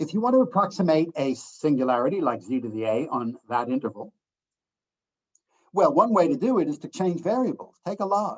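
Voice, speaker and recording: A man with an American accent speaks at a high pitch and a fairly quick pace, his pitch swinging very widely. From US Northeast, Boston area. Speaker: professor. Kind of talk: lecture. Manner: fast.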